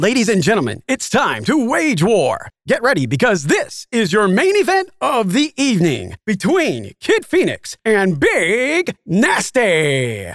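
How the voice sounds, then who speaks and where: Fairly slow delivery with hardly any pauses. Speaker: voice actor doing a wrestling announcer parody. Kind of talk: wrestling promo, over-the-top ring announcer parody. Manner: animated, with comic suspense pauses.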